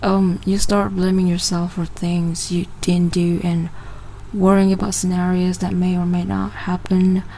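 Noticeable background noise under a woman's voice. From Sabah, Malaysia. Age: 20s. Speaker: podcast host. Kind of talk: casual monologue. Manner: casual, hesitant.

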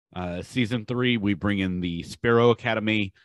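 In an American accent, a man with a fairly low pitch talks at a fairly slow pace with ordinary pitch variation. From Durham, North Carolina. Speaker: show co-host. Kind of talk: casual chat. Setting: online video show.

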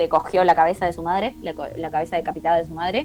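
Noticeable background noise runs under the audio. Over it, a woman talks at a fairly quick pace. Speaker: podcast co-host. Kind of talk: casual chat.

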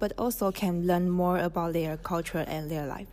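Speaking at a moderate pace with a Chinese accent, a woman has a medium pitch and a dark, mellow tone. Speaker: language student. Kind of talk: personal story presentation.

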